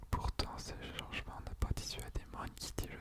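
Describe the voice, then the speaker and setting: A man whispering at a very slow pace over noticeable background noise. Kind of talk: ASMR reading of an encyclopedia article about a manga. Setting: studio, close microphone. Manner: soft-spoken, whispered.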